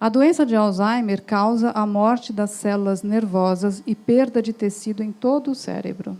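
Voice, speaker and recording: A woman speaks with a fairly high pitch and a dark, mellow tone. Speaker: doctor giving a talk. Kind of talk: lecture. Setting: stage with audience.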